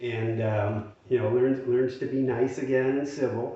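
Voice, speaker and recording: A man with fairly even intonation, with audible room echo and noticeable background noise. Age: 60s. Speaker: retirement finance youtuber. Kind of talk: casual monologue to camera. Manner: hesitant with many fillers.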